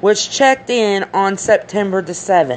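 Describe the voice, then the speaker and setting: A woman with an animated tone talks at a fairly slow pace. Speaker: YouTuber commenting on a crime case. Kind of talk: casual commentary vlog. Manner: speech disorder, stumbles over words; animated, emphatic.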